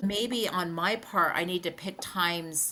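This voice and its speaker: A woman's ordinary speaking voice, fairly low in pitch, at a fairly slow pace. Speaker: podcast co-host. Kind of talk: casual podcast chat.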